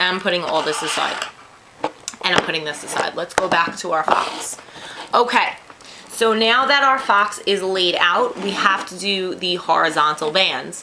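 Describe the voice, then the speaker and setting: With a New York accent, the speaker talks over noticeable background noise. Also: moderate pace. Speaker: craft tutorial youtuber. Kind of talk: tutorial. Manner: casual, chatty.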